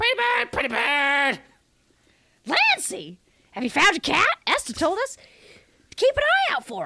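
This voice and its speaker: In a put-on character voice, a woman speaks sing-song at an extremely high pitch, leaving long, frequent pauses. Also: moderate pace. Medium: game stream. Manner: annoying, sing-song.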